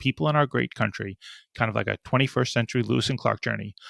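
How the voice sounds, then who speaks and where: A man talks at a very fast pace in a bright, sharp tone with vocal fry. The recording is very clean and dry, close with no echo, over a silent background. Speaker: podcast host. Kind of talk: podcast intro.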